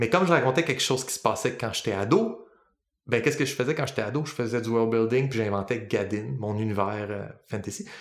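This man speaks in a Quebec accent with ordinary pitch variation. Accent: Québécois French. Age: 30s. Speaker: podcast host, linguist and worldbuilder. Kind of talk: casual chat.

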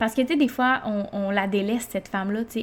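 Somewhat breathy and fairly even in intonation, a woman speaks with a Quebec accent. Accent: Québécois French. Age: 20s. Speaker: podcast host, mother and entrepreneur. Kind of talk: personal monologue. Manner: casual, many filler hesitations.

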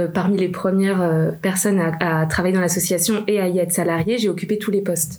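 Amid audible room echo, a woman speaks at a medium pitch and moderate pace with fairly even intonation. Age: 30s. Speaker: nonprofit manager. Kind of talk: interview.

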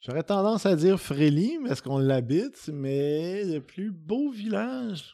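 A man with a Quebec accent speaks very slowly in a high-pitched voice with a dark, mellow tone and very wide pitch swings. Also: hardly any pauses. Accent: Québécois French. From Quebec, Saint-Hyacinthe area. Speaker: singer-songwriter. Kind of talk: interview. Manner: casual, hesitant with fillers.

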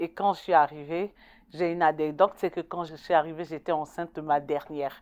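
Her intonation monotone and flat, a woman with a very deep, low pitch speaks at a fairly quick pace on a very clean recording with a silent background. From Ivory Coast. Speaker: community volunteer. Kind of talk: interview testimony.

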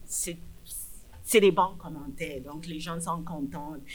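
This woman speaks with a fairly low pitch. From Nigeria. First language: English (speaking French). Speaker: public health physician. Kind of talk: interview. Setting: bar with live audience.

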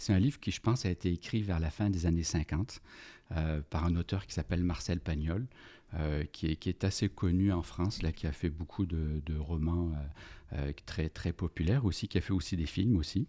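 Here a man speaks with a very deep, low pitch, a dark, mellow tone and ordinary pitch variation. The recording is very clean, with a silent background. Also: moderate pace. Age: 50s. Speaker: organizational development consultant and business coach. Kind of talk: casual interview about books. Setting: podcast studio.

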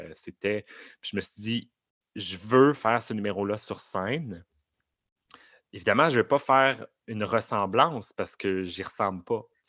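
This man's voice has a bright, sharp tone and a fairly low pitch. His pitch variation is ordinary. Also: big swings in loudness, quiet background. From Montreal area, Quebec. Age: 30s. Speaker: drag queen performer. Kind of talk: interview conversation. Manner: halting, many fillers and repetitions.

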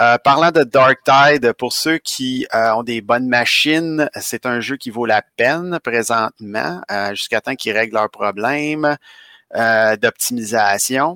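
A man speaks very slowly with a bright, sharp, medium-pitched voice and ordinary pitch variation. The recording is very clean, dry and close, with no echo and a silent background. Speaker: podcast co-host, gamer. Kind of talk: casual chat.

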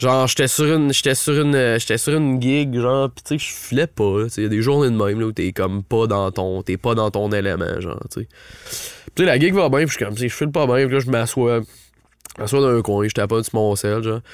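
A man's medium-pitched voice, with ordinary pitch variation, proceeds at a moderate pace. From Ottawa, Canada. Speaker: singer-songwriter and producer. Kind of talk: casual chat. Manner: halting, many repetitions.

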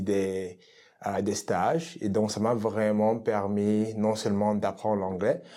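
In a very clean recording with a silent background, a man speaks very slowly at a fairly low pitch, his dark, mellow tone holding fairly even intonation. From Cameroon. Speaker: dancer and dance teacher. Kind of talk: casual interview.

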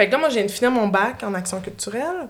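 A woman with a Quebec accent talks at a moderate pace, her intonation lively. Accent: Québécois French. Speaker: puppeteer and improviser. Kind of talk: casual chat. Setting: studio.

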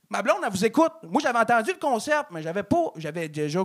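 Over noticeable background noise, a man talks at a very fast pace in an extremely high pitch with very wide pitch swings. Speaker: comedian. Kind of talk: stand-up.

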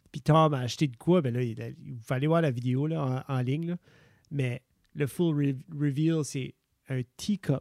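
This man speaks very slowly with fairly even intonation and a fairly high pitch. The recording is very clean with a silent background. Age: 30s. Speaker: podcast co-host. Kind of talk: casual chat.

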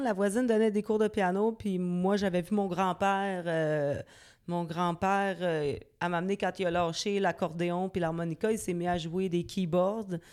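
A woman speaks in an unremarkable speaking voice at a medium pitch and a fairly slow pace. The intonation is fairly even, and the recording is very clean with a silent background. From Quebec City suburbs (Loretteville). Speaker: singer-songwriter. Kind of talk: interview. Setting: dance studio.

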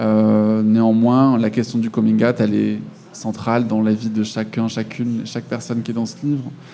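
A man talks at a moderate pace with a medium pitch. His intonation is flat and monotone. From France. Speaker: author and illustrator. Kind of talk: interview.

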